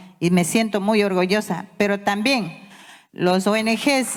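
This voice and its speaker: Over noticeable background noise, a woman speaks at a fairly slow pace with a fairly high pitch. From Ecuador, Amazon (Yasuní), Waorani people. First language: Waorani (Wao Tededo) (speaking Spanish). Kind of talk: conference speech. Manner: halting.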